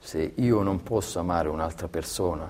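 Very deep, low-pitched male voice at a moderate pace. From Calabria, southern Italy. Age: 40s. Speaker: athletic trainer. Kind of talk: interview. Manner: halting, many repetitions.

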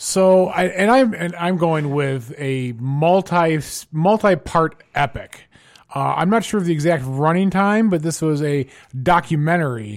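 Using a normal speaking voice, a man with a fairly high pitch talks at a fairly slow pace with lively intonation. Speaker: team captain, podcast co-host, gamer. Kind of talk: casual comedic banter.

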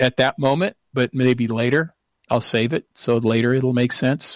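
A man with an American accent speaks at a moderate pace and medium pitch in an ordinary speaking voice, his intonation fairly even, the sound dry and close with no echo on a very clean recording with a silent background. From Seattle, US Pacific Northwest. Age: 60s. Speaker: professor and researcher.

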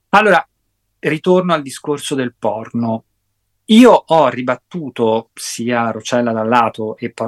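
The man's medium-pitched voice moves at a fairly slow pace with ordinary pitch variation, in a dry, close recording with no echo. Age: 50s. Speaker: psychotherapist and sexologist. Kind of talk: interview. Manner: hesitant with frequent fillers.

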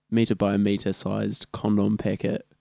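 A man with a New Zealand accent speaks in a fairly low voice with a dark, mellow tone. The sound is dry and close, with no echo. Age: 20s. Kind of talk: casual chat.

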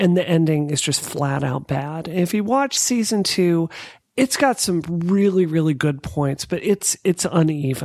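The speaker has an American accent and lively intonation. The delivery moves at a fairly slow pace. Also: woman, fairly low pitch for a woman. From US South, Mississippi. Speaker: podcast guest. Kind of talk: casual chat. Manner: animated.

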